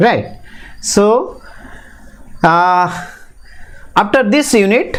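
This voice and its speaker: A man with an Indian accent and a high pitch, at a very slow pace with long, frequent pauses and ordinary pitch variation, in audible room echo. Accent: Indian English (Odia). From Odisha, India. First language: Odia. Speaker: teacher educator. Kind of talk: lecture. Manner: halting, with frequent fillers.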